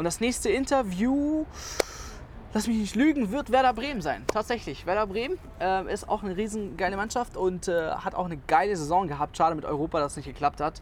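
Over noticeable background noise, a man talks fairly quickly at a high pitch with very wide pitch swings. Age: 20s. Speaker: podcast host. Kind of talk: casual chat.

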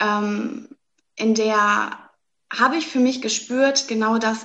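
This woman has a fairly high pitch and fairly even intonation. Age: 20s. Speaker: doctor and astrologer coach. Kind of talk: interview.

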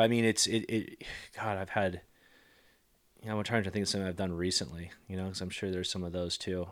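Speaking very fast in a very deep, low voice with an American accent, a man leaves long, frequent pauses. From US West Coast, San Diego, California. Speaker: entrepreneur. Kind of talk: podcast interview. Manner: halting, many fillers.

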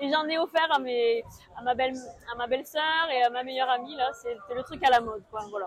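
Through noticeable background noise comes a woman's high-pitched voice with ordinary pitch variation. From southwest France, near the Pyrenees. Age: 40s. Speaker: accountant and amateur runner. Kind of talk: interview. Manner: halting, many hesitations.

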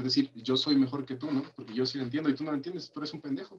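A man with an unremarkable speaking voice, medium pitch and ordinary pitch variation. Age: 20s. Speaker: podcast co-host. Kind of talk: casual chat.

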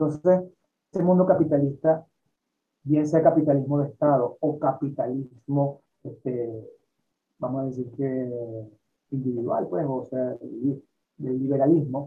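A man speaks at a fairly slow pace, his pitch fairly high. His intonation stays fairly even. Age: 60s. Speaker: health and lifestyle teacher. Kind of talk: interview. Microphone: poor internet connection.

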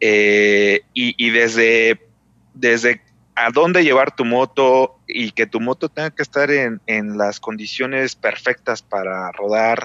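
A man speaks at a very slow pace. His pitch is medium, with ordinary pitch variation. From Mexico City. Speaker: experienced motorcyclist. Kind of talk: casual chat.

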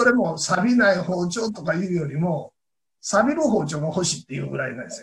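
A high-pitched man with a Kansai accent, lively intonation, big swings in loudness and a fairly quick pace. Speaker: knife craftsman. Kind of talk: interview.

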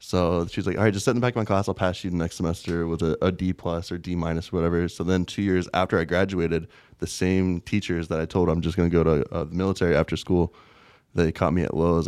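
With an American accent, a man speaks at a very fast pace in a very deep, low pitch. His tone is dark and mellow, and the background is quiet. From rural US, small farm town. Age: 20s. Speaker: former soldier turned crypto investor. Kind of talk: interview.

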